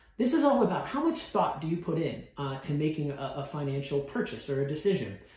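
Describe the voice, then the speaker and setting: A man talks at a fairly quick pace with hardly any pauses, his fairly high pitch carrying an energetic tone and lively intonation. Noticeable background noise and audible room echo fill the recording. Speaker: university financial literacy educator. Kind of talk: informal educational talk to students. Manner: fast; energetic, conversational.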